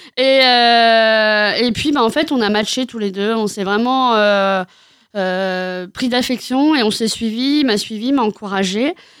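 Very slow and fairly high-pitched, a woman speaks with ordinary pitch variation in a very clean recording with a silent background. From Normandy, France. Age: 30s. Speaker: comedian. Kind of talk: interview. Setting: radio studio.

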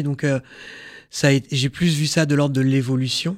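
This man speaks in a monotone, with flat intonation. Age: 30s. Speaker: burn survivor and prevention speaker. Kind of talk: testimony. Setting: studio. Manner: hesitant.

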